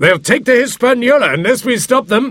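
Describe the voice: A man puts on a loud, extremely high-pitched character voice with lively intonation. The recording is very clean, with a silent background. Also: moderate pace, fairly bright tone.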